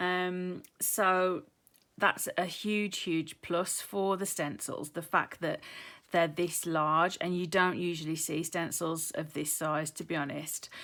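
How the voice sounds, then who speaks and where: A woman's bright, sharp tone in a British accent, fairly low in pitch, very slow, with fairly even intonation, on a very clean recording with a silent background. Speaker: craft YouTuber. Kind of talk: tutorial. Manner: hesitant, many ums.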